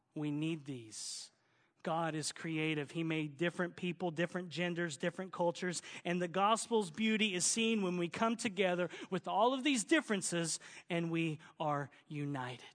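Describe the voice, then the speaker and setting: Delivered at a moderate pace in a Southern US accent, the speech shows ordinary pitch variation. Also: man, high pitch for a man. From Oklahoma, US South. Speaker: pastor. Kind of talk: sermon. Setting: church.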